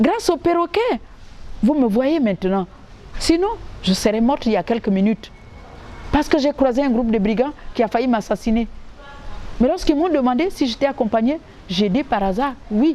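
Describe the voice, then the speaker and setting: A woman's high-pitched voice with lively intonation and very even loudness, broken by long, frequent pauses, over noticeable background noise. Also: moderate pace. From Gabon. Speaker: storyteller and actress. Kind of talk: oral folk tale telling.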